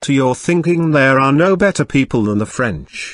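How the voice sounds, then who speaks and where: Against a quiet background, a man's voice makes very wide pitch swings, the sound dry and close with no echo. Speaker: audiobook narrator. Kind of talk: literary audiobook reading, scripted narration. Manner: steady, measured storytelling pace.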